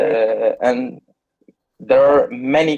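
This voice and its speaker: A man with a Turkish accent and ordinary pitch variation, with music in the background. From Turkey. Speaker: IELTS test taker. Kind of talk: speaking exam. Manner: halting, many fillers.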